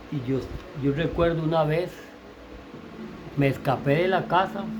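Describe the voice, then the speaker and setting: A man with a fairly high pitch and ordinary pitch variation speaks at a fairly slow pace. Noticeable background noise and audible room echo fill the recording. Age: 60s. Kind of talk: personal testimony. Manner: halting, with many repetitions and self-corrections.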